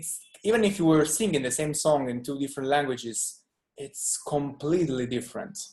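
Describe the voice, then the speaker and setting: A man with an Italian accent talks at a fairly quick pace in a fairly high voice, with ordinary pitch variation and big swings in loudness. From southern Italy, Salento (Puglia). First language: Italian (Salentino dialect). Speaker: musician. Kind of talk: casual interview chat.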